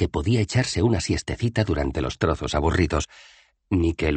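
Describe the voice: Against a quiet background, the reading aloud is plain, and the intonation is lively.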